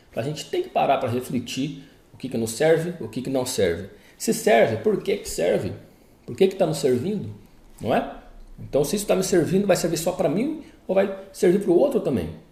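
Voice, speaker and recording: A man's high, dark, mellow voice at a moderate pace, with very wide pitch swings and long, frequent pauses. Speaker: therapist. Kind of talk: casual talk to viewers; commented reading. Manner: informal, conversational.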